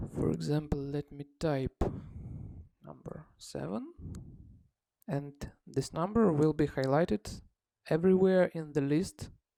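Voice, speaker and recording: A fairly slow, non-native accent with long, frequent pauses. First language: not English. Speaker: software developer demonstrating own app. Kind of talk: tutorial. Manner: halting, many fillers.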